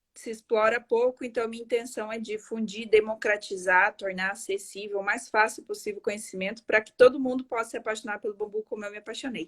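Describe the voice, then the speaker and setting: The sound is dry and close with no echo as a woman speaks at a fairly high pitch. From Paraguay. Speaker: architect and live-stream host. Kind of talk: live-stream interview. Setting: online live stream.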